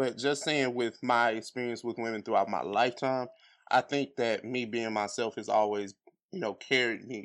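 A man with a normal speaking voice uses a medium pitch and fairly even intonation, neither rushing nor dragging at a moderate pace. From US Midwest, St. Louis, Missouri. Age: 30s. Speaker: podcaster. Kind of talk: casual chat.

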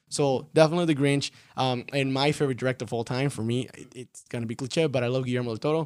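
Very fast speech in a Spanish accent, with fairly even intonation, big swings in loudness, and hardly any pauses. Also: man, medium pitch for a man. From Mexico, Tampico. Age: 20s. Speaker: film director. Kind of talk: casual interview.

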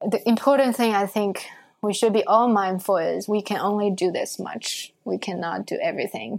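In a Chinese accent, a woman talks at a moderate pace and medium pitch with ordinary pitch variation. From China. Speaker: tea event organizer. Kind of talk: interview. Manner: halting.

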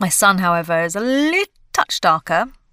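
A woman's medium-pitched voice with a bright, sharp tone at a moderate pace, dry and close with no echo, on a very clean recording with a silent background. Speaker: actress. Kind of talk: casual chat.

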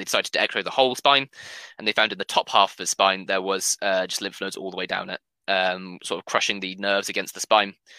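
Very fast and bright, sharp in tone, the voice comes through dry and close with no echo on a very clean recording with a silent background. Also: man. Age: 20s. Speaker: online gamer and charity fundraiser. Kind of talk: casual chat. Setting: live video stream.

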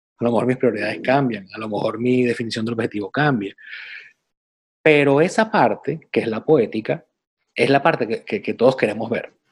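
A man's medium-pitched voice, a plain, everyday voice, with ordinary pitch variation and a fairly quick pace. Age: 40s. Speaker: podcast co-host, personal development coach. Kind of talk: casual chat.

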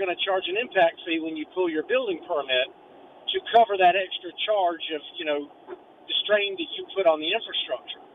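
Noticeable background noise is present. A man's speech moves at a moderate pace. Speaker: caller working in local development. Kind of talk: call-in discussion. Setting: phone call.

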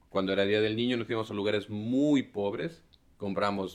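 Here a man has a normal speaking voice. His pitch is fairly low and his pace moderate. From Mexico, Xalapa (Veracruz). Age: 30s. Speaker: former freemason. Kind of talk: interview conversation.

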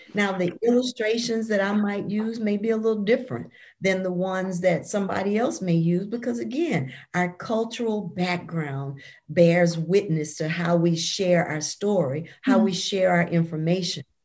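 Somewhat breathy speech with lively intonation and a moderate pace, on a very clean recording with a silent background. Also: woman, medium pitch for a woman. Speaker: author. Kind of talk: interview.

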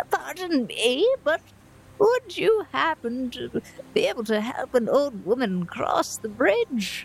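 At a fairly slow pace, a female-sounding voice does a put-on character voice at a high pitch for a woman. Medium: actual play. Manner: frail, polite, grateful.

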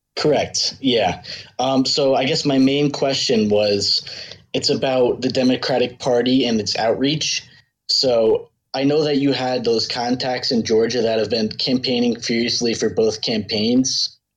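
At a fairly slow pace, a man with an American accent and a normal speaking voice talks at a medium pitch, his intonation fairly even and his loudness very even. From upstate New York. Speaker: caller, former election worker. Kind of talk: call-in question to host. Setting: online voice call via Discord.

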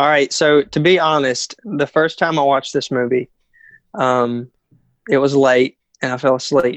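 A man with an American accent has a plain, everyday voice. His pitch is fairly high and his intonation fairly even. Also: moderate pace, dry, close sound with no echo. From North Carolina, US. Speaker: guest. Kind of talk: casual chat. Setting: call recording.

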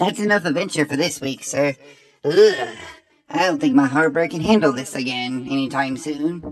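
A man's raspy put-on character voice, fairly high in pitch, at a moderate pace

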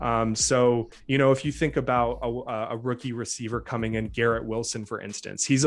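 A plain, everyday voice comes from a man at medium pitch, speaking at a moderate pace with fairly even intonation. The recording is very clean, and the background is silent. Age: 30s. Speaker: fantasy football podcaster and humanities PhD. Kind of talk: casual chat.

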